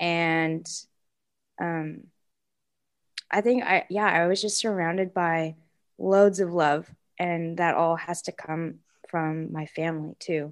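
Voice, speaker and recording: A woman at a fairly low pitch, monotone and flat, at a very slow pace with long, frequent pauses, in a very clean recording over a silent background. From Seattle, Washington, US. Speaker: podcast co-host, teacher. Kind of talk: casual chat. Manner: halting, many fillers.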